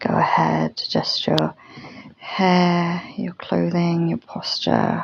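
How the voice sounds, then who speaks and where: A woman speaks softly. Her pace is very slow. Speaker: yoga teacher. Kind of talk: guided yoga class instruction. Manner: soft-spoken, slow, calming.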